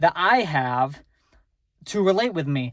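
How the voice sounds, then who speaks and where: Every word comes out very slowly from the woman. Nothing sounds behind her on this very clean recording. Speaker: vlogger. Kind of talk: casual monologue vlog. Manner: halting, many repetitions and fillers.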